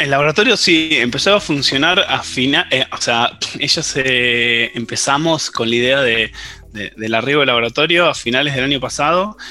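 Over music in the background, a man with an Argentine accent speaks at a moderate pace in a fairly high pitch. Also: ordinary pitch variation. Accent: Rioplatense Argentine Spanish. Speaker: biologist and researcher. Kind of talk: interview. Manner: hesitant, with many fillers.

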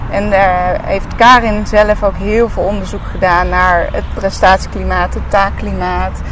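In a recording with audible room echo and noticeable background noise, a woman speaks at a fairly slow pace with hardly any pauses. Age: 30s. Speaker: podcast host, former gymnast. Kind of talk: casual interview. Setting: outdoors in a park.

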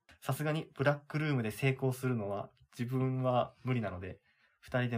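A man with a plain, everyday voice speaks at a fairly quick pace and a medium pitch. His intonation is fairly even, on a very clean recording with a silent background. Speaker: podcast co-host. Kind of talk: announcement; reading aloud.

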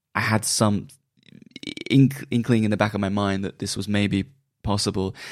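On a very clean recording with a silent background, a man with a West Country accent speaks at a moderate pace in a fairly low pitch with fairly even intonation. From Bristol, England. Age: 30s. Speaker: music journalist and magazine publisher. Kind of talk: casual interview.

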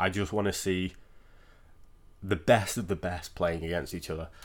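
Heard in a very clean recording with a silent background, a man with a British accent speaks at a fairly quick pace. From Britain. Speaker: NFL podcaster. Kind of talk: solo sports predictions podcast. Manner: casual, conversational.

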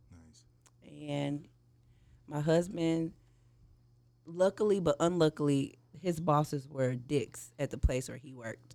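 With an American accent, the speaker goes at a fairly slow pace, leaving long, frequent pauses. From St. Louis, Missouri. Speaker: cannabis community organizer. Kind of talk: casual chat.

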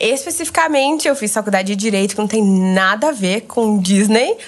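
A woman speaks fairly quickly with noticeable background noise behind her. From Brazil, Goiânia. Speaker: former Disney exchange worker. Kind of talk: casual chat.

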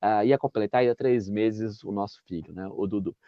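A man with a normal speaking voice, ordinary pitch variation and a moderate pace. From interior of São Paulo state, Brazil. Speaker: municipal guard and YouTuber. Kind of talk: interview conversation. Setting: video call.

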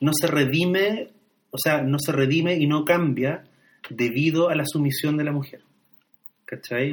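Pitched fairly high, a man speaks with a Chilean accent. He keeps a moderate pace and fairly even intonation. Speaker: podcast co-host discussing films. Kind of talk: casual chat about films.

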